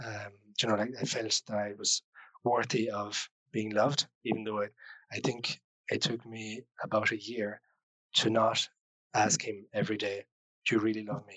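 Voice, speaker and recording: A man's bright, sharp voice at a fairly low pitch has monotone, flat intonation, a moderate pace and long, frequent pauses, the sound dry and close with no echo. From Switzerland. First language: French. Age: 20s. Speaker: podcast guest sharing life story. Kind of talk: personal testimony. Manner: hesitant.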